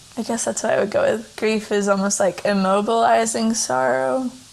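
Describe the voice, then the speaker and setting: The pitch swings very widely over noticeable background noise. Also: woman. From Tennessee. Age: 20s. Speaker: writer and editor. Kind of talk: casual interview. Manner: hesitant, filler-heavy.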